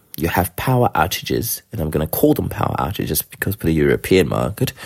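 A man with a very deep, low pitch and vocal fry makes very wide pitch swings. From South Africa. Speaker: listener and guide dog user. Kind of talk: voice message.

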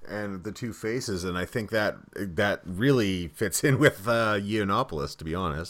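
In a very clean recording with a silent background, a man with a fairly low pitch and an ordinary speaking voice talks at a moderate pace with ordinary pitch variation and hardly any pauses. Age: 30s. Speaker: podcast host. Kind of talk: casual interview.

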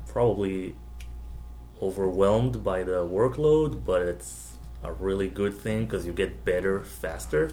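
A man with an Israeli accent speaks at a fairly slow pace with a very deep, low pitch, leaving long, frequent pauses, with audible room echo and music in the background. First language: Hebrew. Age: 20s. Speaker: comic book art student. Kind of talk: casual interview.

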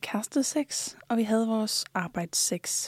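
On a very clean, dry, close recording with no echo and a silent background, a woman speaks in a plain, everyday voice, fairly high in pitch with fairly even intonation. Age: 20s. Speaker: OnlyFans creator. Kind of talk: interview. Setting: studio.

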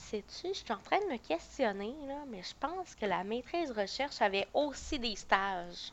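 Her fairly high voice moves at a fairly slow pace with hardly any pauses, as this woman's pitch swings very widely and her loudness rises and falls in big swings. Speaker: psychoeducator. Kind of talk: casual chat.

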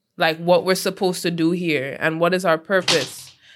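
A woman with a plain, everyday voice and a fairly low pitch speaks at a moderate pace. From Trinidad and Tobago (born in US, raised partly in Trinidad). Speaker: musician, rapper. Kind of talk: interview.

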